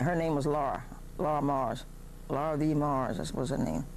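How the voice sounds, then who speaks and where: A woman's very deep, low voice at a moderate pace, with audible room echo. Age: 70s. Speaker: oral history interviewee. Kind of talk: oral history interview.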